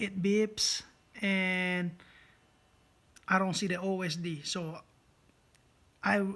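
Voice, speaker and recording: A man with a non-native accent speaks at a very slow pace, with long, frequent pauses and monotone, flat intonation. His high-pitched voice has a bright, sharp tone, captured in a very clean recording with a silent background. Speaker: drone hobbyist YouTuber. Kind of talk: tutorial. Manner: halting, many fillers; casual.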